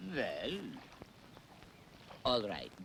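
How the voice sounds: Using a put-on character voice, a man speaks very slowly with a fairly low pitch, big pitch swings, vocal fry and a fairly bright tone.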